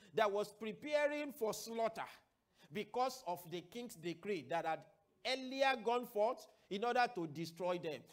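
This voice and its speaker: A man at a fairly slow pace with very wide pitch swings. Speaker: preacher. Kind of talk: sermon. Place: studio. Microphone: lapel.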